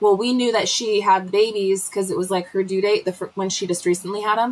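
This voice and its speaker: At a very fast pace, a woman speaks with fairly even intonation. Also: medium pitch for a woman. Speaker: homesteading livestream host. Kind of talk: casual live chat. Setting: livestream from the cabin.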